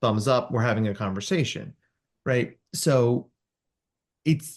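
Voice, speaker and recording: Somewhat breathy, a man speaks with lively intonation against a quiet background. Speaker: clinical psychologist. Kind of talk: podcast interview. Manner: animated.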